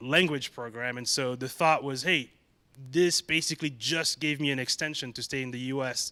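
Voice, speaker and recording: The tone is bright and sharp. The intonation stays fairly even. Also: man. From Gabon. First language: French. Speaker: tech company CEO. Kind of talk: interview.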